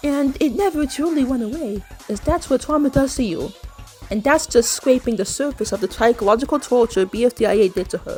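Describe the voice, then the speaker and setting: A woman at a high pitch with lively intonation and a moderate pace, music in the background. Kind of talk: video essay commentary.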